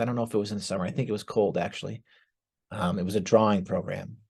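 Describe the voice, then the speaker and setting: With an American accent, a man uses a normal speaking voice at medium pitch with ordinary pitch variation against a quiet background. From northeastern Pennsylvania (Scranton). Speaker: former art student. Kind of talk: testimony.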